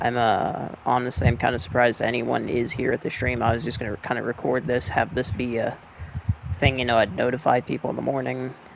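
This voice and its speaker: A man speaks quietly at a fairly quick pace, his pitch medium, with noticeable background noise behind him. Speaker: gaming streamer. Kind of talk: let's play commentary. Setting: at home late at night, family asleep. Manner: quiet, subdued.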